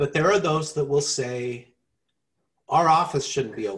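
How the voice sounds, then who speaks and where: A man's fairly high voice, somewhat breathy, shows ordinary pitch variation as he talks. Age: 50s. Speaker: podcast co-host. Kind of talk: casual chat.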